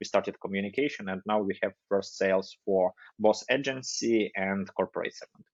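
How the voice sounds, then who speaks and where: A man talks at a fairly quick pace with a non-native accent. His voice sits fairly low, with ordinary pitch variation. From Ukraine. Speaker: agency CEO and marketing educator. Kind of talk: podcast interview. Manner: halting.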